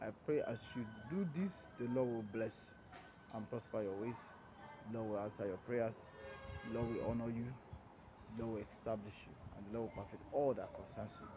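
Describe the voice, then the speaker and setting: Music plays in the background as a man talks. His pace is fairly quick, with ordinary pitch variation. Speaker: preacher. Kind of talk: short devotional sermon. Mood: earnest, prayerful. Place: street. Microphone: phone near.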